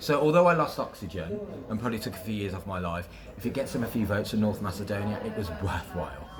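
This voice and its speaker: Very fast and with lively intonation, a man with a fairly low voice speaks in a West Midlands accent amid noticeable background noise and audible room echo. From West Midlands, England. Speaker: radio presenter. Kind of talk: casual interview. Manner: animated.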